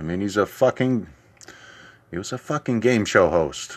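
A man with an American accent talks at a fairly low pitch with ordinary pitch variation. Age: 40s. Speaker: solo podcaster. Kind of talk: profane angry political rant, building indignation. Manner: heated, swearing, repetitive emphatic outbursts; rambling, hesitant, full of fillers and restarts.

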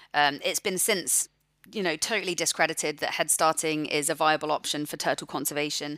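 Speaking at a fairly quick pace with a West Country accent, a woman with a very deep, low pitch, fairly even intonation and a bright, sharp tone sounds dry and close with no echo in a very clean recording over a silent background. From England, Forest of Dean (Gloucestershire). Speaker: marine conservationist. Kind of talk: interview.

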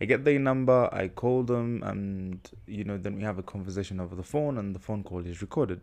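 A man with a fairly low pitch and ordinary pitch variation. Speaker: podcast host. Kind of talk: casual monologue answering listener question. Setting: podcast recording.

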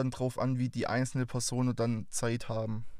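A man speaks at a fairly quick pace with a Swabian accent, his medium pitch held in fairly even intonation. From Swabia, near Stuttgart. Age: 20s. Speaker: podcast host. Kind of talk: show introduction monologue. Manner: talkative.

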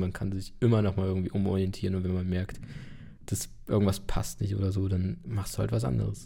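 A man's very deep, low voice with a dark, mellow tone, somewhat breathy, at a fairly quick pace. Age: 20s. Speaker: podcast host. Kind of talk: casual chat.

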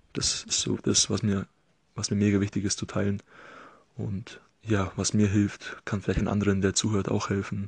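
Somewhat breathy and fairly low, a man's voice stays flat and monotone, broken by long, frequent pauses. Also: moderate pace. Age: 20s. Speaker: podcast host, occupational therapy student. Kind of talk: solo podcast monologue. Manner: casual, filler-heavy.

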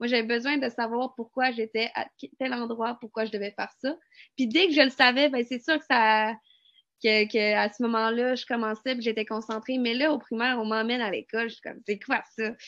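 A woman speaks with a Quebec accent. Her pitch is fairly high and her intonation fairly even. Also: moderate pace. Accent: Québécois French. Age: 20s. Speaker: student. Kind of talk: testimony.

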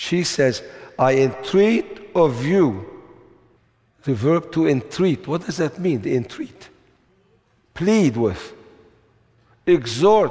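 Slow and marked by long, frequent pauses, a man speaks at a fairly high pitch with big pitch swings, a slightly mellow tone and a slightly husky edge.

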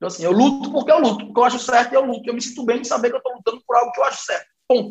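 In a Cearense accent, a man talks at a very fast pace with an extremely high pitch. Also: fairly even intonation. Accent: Cearense Brazilian Portuguese. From Brazil, Fortaleza. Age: 30s. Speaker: business partner and think-tank director. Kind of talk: casual chat.

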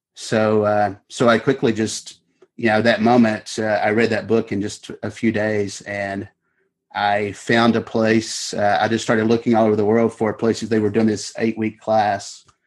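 With a Kentucky accent, a man speaks at a moderate pace in a fairly low, monotone, flat voice. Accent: Kentucky Southern US. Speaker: author. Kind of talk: interview.

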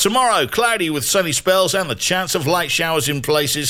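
A man speaks in an upbeat tone with lively intonation. Noticeable background noise runs underneath. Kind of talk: radio DJ patter between songs: weather, song intros, station idents. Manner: polished, upbeat, brisk broadcaster delivery.

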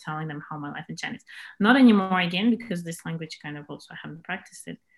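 Someone with a Russian accent speaks at a very fast pace. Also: woman. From Moscow, Russia. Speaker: camp organizer, English teacher. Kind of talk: casual interview. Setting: video call.

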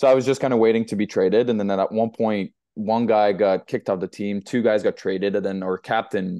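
This man has a fairly low voice with a dark, mellow tone and a slight French Canadian accent. He talks very fast with fairly even intonation, and the sound is dry and close with no echo. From Quebec, Montreal South Shore. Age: 20s. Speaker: professional ice hockey player. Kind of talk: casual interview chat.

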